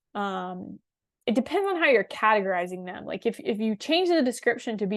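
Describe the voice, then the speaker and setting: Against a quiet background, a woman with a fairly high pitch and a plain, everyday voice talks at a fairly quick pace with lively intonation. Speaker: webinar presenter. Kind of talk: software demo webinar. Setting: online webinar. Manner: casual, with fillers.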